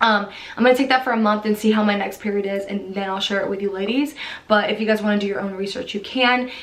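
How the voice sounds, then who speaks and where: A woman's medium-pitched voice at a very fast pace, fairly even in intonation, with audible room echo and noticeable background noise. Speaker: fitness vlogger. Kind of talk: casual chat.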